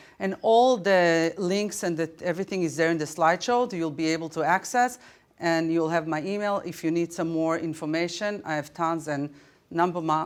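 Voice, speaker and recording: Against a very clean, silent background, a woman speaks at a fairly low pitch and a fairly quick pace. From Israel. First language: Hebrew. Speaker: teacher. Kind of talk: conference presentation. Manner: halting, many fillers.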